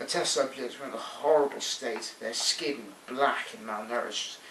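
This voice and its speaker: With noticeable background noise around him, a man speaks in a fairly high voice at a moderate pace with ordinary pitch variation. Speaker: amateur storyteller. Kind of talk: read sci-fi story. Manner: mumbly, quiet.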